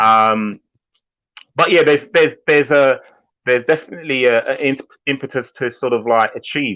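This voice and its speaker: His tone comes across bright and sharp. The man keeps to a moderate pace. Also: medium pitch for a man, ordinary pitch variation. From Jamaica. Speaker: fitness trainer. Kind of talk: casual chat.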